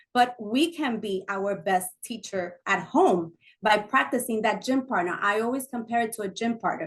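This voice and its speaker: Fairly high in pitch, a woman speaks at a moderate pace with ordinary pitch variation. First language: not English. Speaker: parent and workshop facilitator. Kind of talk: panel discussion. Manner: halting.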